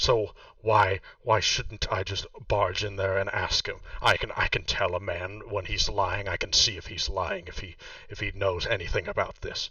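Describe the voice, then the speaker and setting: A man's raspy, put-on character voice at a moderate pace. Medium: actual play. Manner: hasty, agitated.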